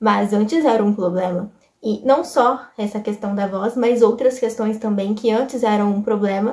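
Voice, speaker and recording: A woman's somewhat breathy, dark and mellow voice, fairly high in pitch, at a moderate pace with fairly even intonation. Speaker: YouTuber and author. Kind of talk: casual vlog talk to camera.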